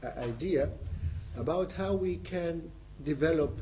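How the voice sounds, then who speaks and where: A man's voice against light background noise. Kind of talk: seminar talk, personal narrative. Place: meeting room. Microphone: camera far.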